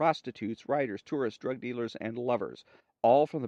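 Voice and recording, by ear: Over a quiet background, the words are read aloud in a natural voice whose pitch varies in an ordinary way.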